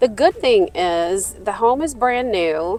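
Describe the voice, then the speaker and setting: A fairly high-pitched woman's voice in a Nashville accent, with lively intonation and music in the background. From Nashville, Tennessee. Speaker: real estate agent. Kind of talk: casual chat.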